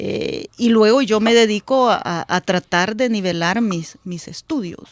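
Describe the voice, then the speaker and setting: A woman speaks fairly slowly. Her fairly high pitch shows ordinary variation. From El Salvador, rural area near Suchitoto. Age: 40s. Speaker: politician. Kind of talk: radio interview. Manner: halting, with many fillers and repetitions.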